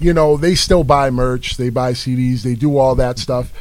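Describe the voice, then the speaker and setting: In a medium pitch with an American accent, a man with an ordinary speaking voice talks at a moderate pace with ordinary pitch variation. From New York City, the Bronx. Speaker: rapper. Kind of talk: casual chat.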